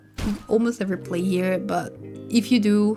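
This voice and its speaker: Music plays in the background as a woman talks. She speaks fairly quickly in a relaxed tone. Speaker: gaming guide creator. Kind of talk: casual gameplay tutorial commentary. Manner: casual, relaxed.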